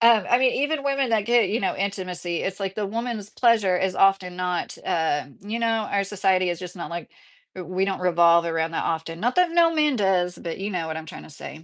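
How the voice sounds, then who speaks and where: A woman speaks with a Midwestern accent at a medium pitch, her intonation lively. She talks at a fairly quick pace with hardly any pauses against a quiet background. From southern Indiana. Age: 30s. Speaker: YouTube commentator. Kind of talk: livestream chat reading comments. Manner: casual, many fillers.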